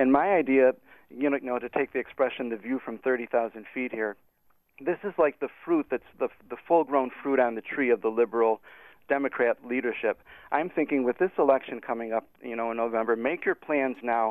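A man talks in a normal speaking voice with an American accent. His pitch is medium with ordinary variation, and his pace is fairly quick. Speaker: caller. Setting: phone call.

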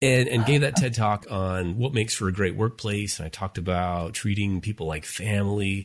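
A man with an American accent and a plain, everyday voice talks at a fairly quick pace with hardly any pauses. His pitch is fairly low with ordinary variation, against a quiet background. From Utah, US. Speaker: family life professor, podcast host. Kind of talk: casual chat.

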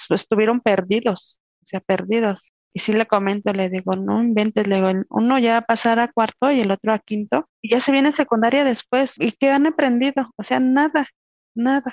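A woman's fairly high voice at a moderate pace, with ordinary pitch variation and very even loudness, dry and close with no echo. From Mexico, Querétaro. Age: 30s. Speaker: mother, house cleaner. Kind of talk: interview.

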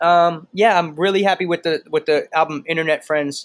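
The man's voice sits at a fairly high pitch. His intonation is fairly even, and the sound is dry and close with no echo. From Boston. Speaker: rapper. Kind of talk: interview. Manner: halting, many fillers.

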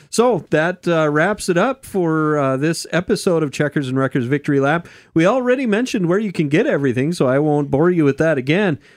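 With an ordinary speaking voice, a man at a fairly high pitch moves at a fairly quick pace, his intonation lively and loudness very even, in a dry, close sound with no echo. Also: hardly any pauses, very clean recording, silent background. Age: 40s. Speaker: racing podcast host. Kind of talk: casual chat.

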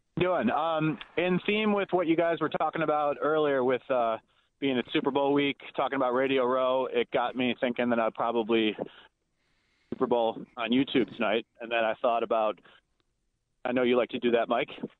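At a moderate pace, a normal speaking voice talks with ordinary pitch variation. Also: man, medium pitch for a man. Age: 30s. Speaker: sports radio caller. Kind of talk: call-in.

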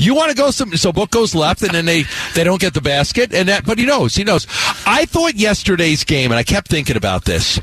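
A man speaks fairly quickly at a high pitch, with very wide pitch swings yet very even loudness. Noticeable background noise runs underneath. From New York. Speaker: sports radio host. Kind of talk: sports talk radio. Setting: radio studio.

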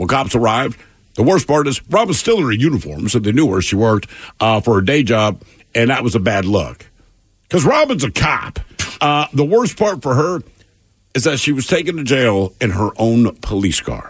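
Somewhat breathy speech with very wide pitch swings. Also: man, medium pitch for a man, moderate pace. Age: 50s. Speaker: radio show co-host. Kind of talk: news reading; casual chat.

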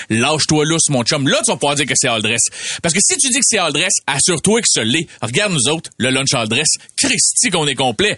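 Animated and lively in intonation, the speaker talks at a fairly quick pace with a Quebec accent and very even loudness while background noise is noticeable. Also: man, fairly high pitch for a man. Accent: Québécois French. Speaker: comedian. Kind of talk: comedic podcast chat.

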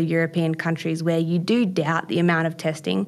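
The voice has an Australian accent and moves at a fairly quick pace with monotone, flat intonation. The recording is very clean, with a silent background. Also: woman. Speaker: BMX and mountain bike athlete. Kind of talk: interview.

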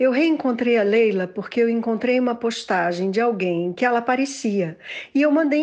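With a normal speaking voice, a woman talks at a moderate pace. Her pitch is fairly high and her intonation lively. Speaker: interviewee, daughter. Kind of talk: interview.

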